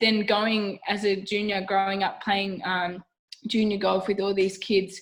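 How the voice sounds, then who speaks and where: Her loudness very even, a woman with an Australian accent speaks at a fairly slow pace. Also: medium pitch for a woman. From Australia, Wollongong New South Wales. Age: 20s. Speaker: professional golfer. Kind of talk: casual interview chat. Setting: video call. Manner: chatty, animated.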